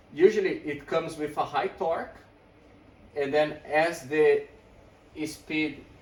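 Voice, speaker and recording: A man with a fairly high pitch speaks at a fairly slow pace against noticeable background noise. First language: not English. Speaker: e-bike shop owner and video host. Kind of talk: tutorial. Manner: animated.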